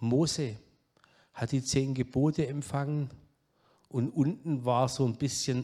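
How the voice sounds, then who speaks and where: A slight Saxon accent, dark and mellow tone with some breathiness, fairly even intonation, and a fairly slow pace broken by long, frequent pauses. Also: man. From southwest Germany, Baden-Württemberg (Pforzheim area). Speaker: guest preacher, addiction ministry leader. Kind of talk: sermon. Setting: church service.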